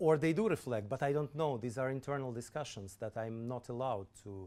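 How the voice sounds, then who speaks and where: With a Russian accent, a man speaks at a medium pitch and a fairly quick pace. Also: ordinary pitch variation. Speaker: government official. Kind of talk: lecture Q&A answers. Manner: halting, many repetitions.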